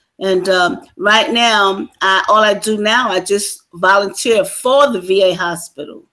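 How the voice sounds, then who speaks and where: With a plain, everyday voice, a woman speaks somewhat slowly, her mid-range pitch moving in a normal amount. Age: 60s. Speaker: military veteran. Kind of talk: interview.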